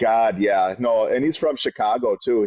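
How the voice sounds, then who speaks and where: Speaking with a Wisconsin accent, a man keeps a moderate pace. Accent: Wisconsin accent, gets a little thick. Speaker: podcast co-host. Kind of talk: casual podcast chat.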